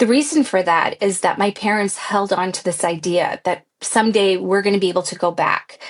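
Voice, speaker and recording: A woman at medium pitch, with a Californian accent and a moderate pace. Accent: Californian American. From US, San Francisco Bay Area. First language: Pashto. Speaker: pilot. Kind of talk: interview.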